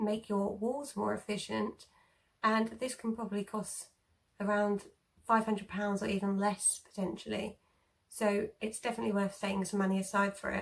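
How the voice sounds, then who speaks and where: A woman's somewhat breathy, monotone voice with flat intonation at a moderate pace, over light background noise. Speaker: home eco vlogger. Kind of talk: tutorial. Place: home room. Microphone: phone near.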